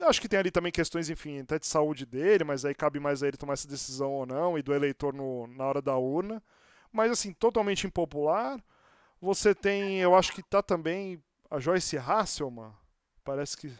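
In a very clean recording with a silent background, a man with an unremarkable speaking voice talks at a moderate pace. His pitch is fairly high, with ordinary variation. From Santos, Brazil. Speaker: podcast host. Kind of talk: casual interview chat.

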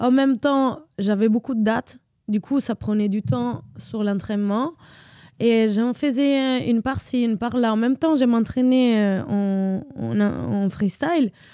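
In an Italian accent, a dark, mellow tone moves at a very slow pace with very even loudness and ordinary pitch variation, on a very clean recording with a silent background. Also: woman, fairly high pitch for a woman. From Italy. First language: Italian (speaking French). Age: 30s. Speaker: dancer. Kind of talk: casual interview.

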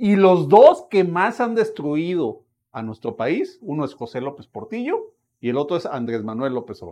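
At a moderate pace, a dark, mellow voice makes very wide pitch swings and big swings in loudness over a quiet background. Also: man, high pitch for a man. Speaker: political commentator. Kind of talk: casual chat.

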